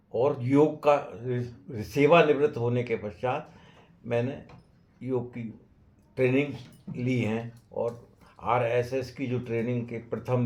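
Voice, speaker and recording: Somewhat breathy male speech with fairly even intonation. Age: 90s. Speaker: retired engineer and yoga teacher. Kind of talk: interview monologue. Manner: halting.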